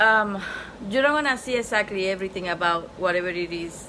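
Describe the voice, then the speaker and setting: Noticeable background noise and audible room echo accompany a speaker with a non-native accent talking at a moderate pace. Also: woman. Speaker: spiritual teacher. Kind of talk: online class lecture. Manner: casual, repetitive filler.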